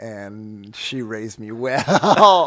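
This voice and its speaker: A man is speaking. He has a French Canadian accent. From Quebec. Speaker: drag performer. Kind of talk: interview. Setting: radio studio. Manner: halting.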